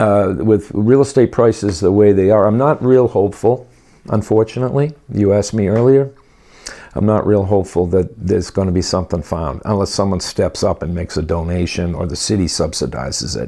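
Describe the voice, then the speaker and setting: A man speaks with a fairly low, dark, mellow voice. His pace is fairly quick, and his pitch varies in an ordinary way. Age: 60s. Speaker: rehearsal complex owner. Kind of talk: interview.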